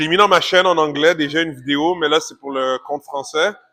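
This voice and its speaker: A man with a Quebec accent, fairly high pitch and a bright, sharp tone, at a fairly quick pace with fairly even intonation, in a dry, close sound with no echo. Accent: Québécois French. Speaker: fitness vlogger. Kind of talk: vlog. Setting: in a car, then a gym. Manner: casual, talkative.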